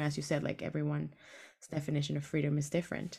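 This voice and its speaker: Speaking with a Spanish accent, a woman uses a very deep, low pitch with vocal fry and ordinary pitch variation. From Venezuela. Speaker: podcast host. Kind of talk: casual interview; podcast intro and outro.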